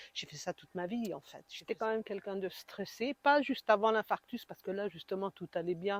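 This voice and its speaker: A woman with an unremarkable speaking voice talks at a fairly quick pace, at medium pitch with ordinary pitch variation and hardly any pauses. Her loudness swings widely, and the sound is dry and close with no echo. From eastern France, Besançon. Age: 60s. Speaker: heart attack patient, support group founder. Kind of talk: interview testimony. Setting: podcast interview.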